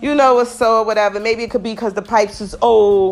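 An animated woman's voice at medium pitch and a fairly quick pace, over noticeable background noise. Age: 40s. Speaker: podcast host. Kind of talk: casual monologue.

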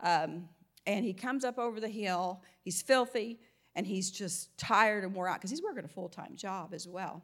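A woman at medium pitch, moderate pace and ordinary pitch variation, on a very clean recording with a silent background. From US South (Mississippi and Alabama). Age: 60s. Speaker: guest preacher. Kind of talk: sermon. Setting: church with congregation.

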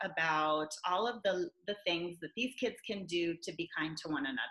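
A woman's voice over noticeable background noise. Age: 40s. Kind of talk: interview.

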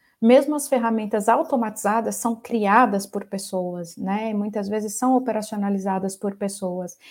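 A plain, everyday voice at a moderate pace. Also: woman. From Brazil, Ribeirão Preto (São Paulo state). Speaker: shared services center executive. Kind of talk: interview.

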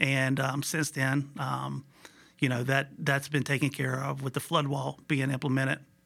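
A man's bright, sharp voice at a medium pitch, with vocal fry, monotone, flat intonation, a moderate pace and an American accent. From Virginia, Shenandoah Valley (Buena Vista). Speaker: manufacturing plant superintendent. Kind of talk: interview. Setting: podcast recording.

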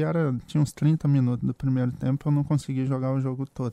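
Fairly quick and dark, mellow in tone, a man's voice comes through dry and close with no echo in a very clean recording over a silent background. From Espírito Santo, Brazil. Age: 30s. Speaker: former football defender. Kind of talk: casual sports chat.

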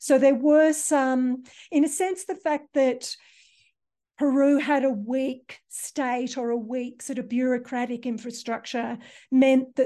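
A woman speaks fairly slowly in a high voice with a dark, mellow tone. The background is quiet. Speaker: architecture researcher, author. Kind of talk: interview answers, academic discussion.

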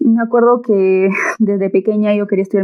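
A woman speaks at a moderate pace. Hers is a plain, everyday voice. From Peru, Andahuaylas, Apurímac (Andean highlands). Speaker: agricultural engineering student. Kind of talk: podcast interview.

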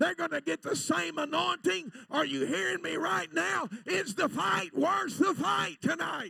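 A man's raised, projected voice, high in pitch with very wide swings, fairly slow yet with hardly any pauses. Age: 60s. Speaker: evangelist. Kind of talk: sermon. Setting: church. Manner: animated.

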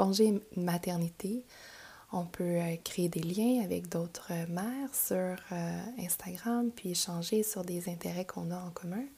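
Very slow and somewhat breathy, a woman speaks in a Quebec accent at a medium pitch, with a dark, mellow tone and ordinary pitch variation. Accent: Québécois French. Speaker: yoga teacher and podcast host. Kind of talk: casual monologue. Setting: home recording at computer.

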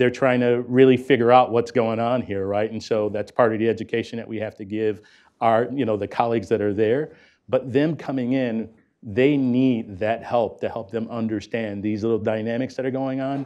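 An American accent comes through as a man with an unremarkable speaking voice talks at medium pitch, a moderate pace and fairly even intonation. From US inner city. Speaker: corporate executive running apprenticeship program. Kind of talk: panel discussion.

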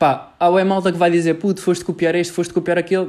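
Dark and mellow in tone, a man's voice stays high in pitch. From Portugal, Lisbon area (Cascais). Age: young. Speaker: university student podcaster. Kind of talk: solo podcast monologue. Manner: casual, halting with fillers.

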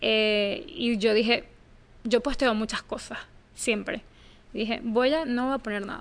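Pausing long and often, a woman talks at a fairly slow pace with a fairly high pitch and ordinary pitch variation. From Venezuela. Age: 30s. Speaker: journalist. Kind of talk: interview.

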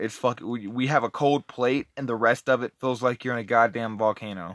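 Recorded very cleanly against a silent background, dry and close with no echo, a man speaks at a medium pitch and moderate pace with ordinary pitch variation. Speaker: amateur podcast co-host. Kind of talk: casual chat. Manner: profane, rambling.

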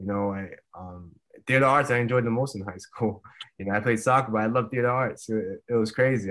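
On a very clean recording with a silent background, a man at medium pitch and a moderate pace, with ordinary pitch variation and an ordinary speaking voice. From Rhode Island, US. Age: 30s. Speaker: retired MMA fighter. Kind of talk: interview.

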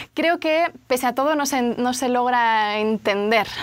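A woman with a Spanish accent speaks at a high pitch. Her pace is fairly slow, with ordinary pitch variation. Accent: Spanish, noticeable. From Spain, Barcelona. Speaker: journalist. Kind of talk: interview.

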